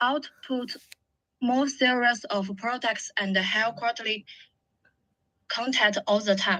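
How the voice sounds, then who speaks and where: A woman with a non-native accent speaks at a very slow pace, leaving long, frequent pauses. Her voice is fairly high, bright and sharp, with fairly even intonation. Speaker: event host. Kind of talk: formal introduction. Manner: halting.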